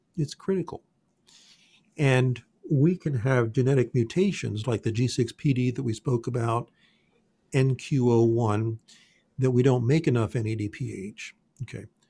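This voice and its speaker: With long, frequent pauses, a man speaks at a moderate pace in a somewhat breathy, medium-pitched voice with ordinary pitch variation, on a very clean recording with a silent background. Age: 60s. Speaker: functional genomics health practitioner. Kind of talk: interview.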